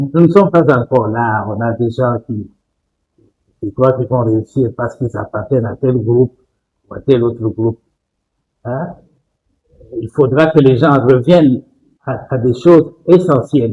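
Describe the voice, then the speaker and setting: Somewhat breathy and dark, mellow in tone, a man speaks at a fairly slow pace and medium pitch with ordinary pitch variation and long, frequent pauses. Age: 80s+. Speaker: doctor. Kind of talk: interview.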